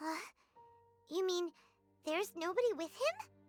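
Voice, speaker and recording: An extremely high, put-on character voice speaks at a moderate pace in an anxious tone over faint background music. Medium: video game. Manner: excitable, anxious.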